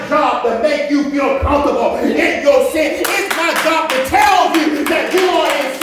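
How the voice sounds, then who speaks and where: A man speaks at a fairly slow pace with ordinary pitch variation, strong room echo, and noticeable background noise. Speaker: preacher. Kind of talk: sermon. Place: church. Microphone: camera far.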